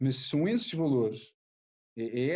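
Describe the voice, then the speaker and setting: Here a man with a European Portuguese accent speaks at a fairly high pitch in a dark, mellow tone, with ordinary pitch variation. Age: 40s. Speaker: rugby player. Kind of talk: casual interview.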